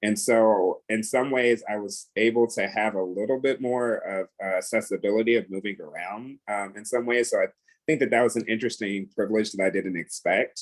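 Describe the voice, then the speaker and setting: Using an unremarkable speaking voice, a man with an American accent talks at a fairly quick pace and medium pitch, with fairly even intonation and hardly any pauses. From United States. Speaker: panel moderator. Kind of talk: panel discussion.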